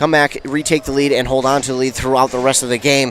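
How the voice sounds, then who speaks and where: Music plays in the background. Over it, a man talks with an American accent. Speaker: radio sports play-by-play announcer. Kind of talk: pregame sports broadcast commentary.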